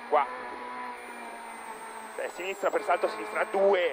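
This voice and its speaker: The man's voice sounds dry with no echo, with noticeable background noise. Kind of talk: pace note calling. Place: car.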